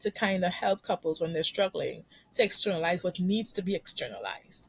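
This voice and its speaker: With a Caribbean accent, a woman talks at a moderate pace in a medium-pitched, somewhat breathy voice with ordinary pitch variation. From Trinidad and Tobago. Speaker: couples therapist. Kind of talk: podcast interview. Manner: halting, with frequent repetitions.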